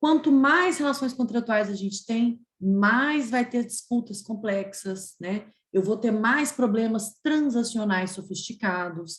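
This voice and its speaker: At a very slow pace, a woman speaks in a fairly high, somewhat breathy voice with lively intonation. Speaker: energy regulation lawyer, webinar panelist. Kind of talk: webinar talk. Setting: video call.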